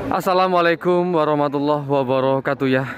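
A man's voice comes through dry, with no echo, as music plays in the background. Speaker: livestock market vlogger. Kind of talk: casual vlog commentary. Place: market. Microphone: phone near.

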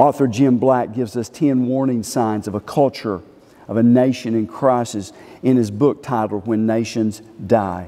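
This man talks at a moderate pace. His pitch varies in an ordinary way. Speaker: preacher. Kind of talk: sermon. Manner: emphatic, repeating each phrase twice like a pulpit preacher; fervent, pleading, urgent tone. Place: church.

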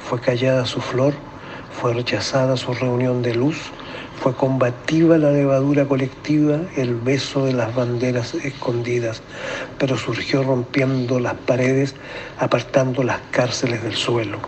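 Speaking at a fairly slow pace, a man with a medium-pitched voice keeps a flat, monotone intonation against noticeable background noise. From Chile. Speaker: engineer and amateur narrator. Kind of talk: poetry reading.

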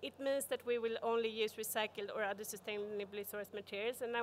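Over light background noise, a woman with a fairly high pitch talks at a very fast pace with fairly even intonation. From Sweden. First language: Swedish. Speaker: corporate sustainability expert; conference speaker. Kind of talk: conference talk. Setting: stage with audience. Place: hall. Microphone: podium.

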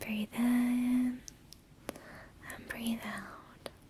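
A soft-spoken woman in a flat monotone, with noticeable background noise. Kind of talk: soft-spoken role-play to viewer. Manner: soft, close ASMR doctor voice. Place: home room.

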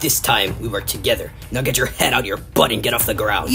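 A man talks at a very fast pace. Background noise is clear. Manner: gruff, irritable, insulting.

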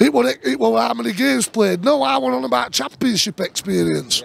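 A man with a South Yorkshire accent talks at a fairly quick pace in an angry tone, the sound dry with no echo. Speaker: football fan vlogger. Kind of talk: angry rant; post-match fan reaction rant. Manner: angry, sweary, ranting; frustrated, halting. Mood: angry, frustrated ranting. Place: stadium.

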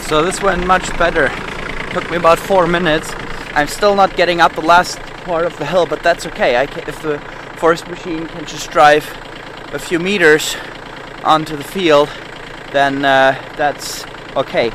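Long, frequent pauses break up speech at a moderate pace with fairly even intonation, the sound dry with no echo and noticeable background noise behind it. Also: man, high pitch for a man. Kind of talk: casual vlog chat. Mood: relieved, mildly satisfied. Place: farm machine. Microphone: phone near.

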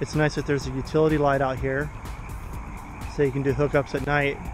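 Music plays in the background. The speech is fairly quick, and the sound is dry with no echo. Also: man. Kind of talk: casual vlog chat. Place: open country. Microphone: phone near.

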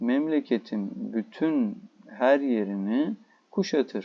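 A man speaks at a fairly slow pace with a Turkish accent. His tone is dark and mellow, with ordinary pitch variation. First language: Turkish (speaking Persian). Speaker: Persian language teacher. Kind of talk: lecture. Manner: halting.

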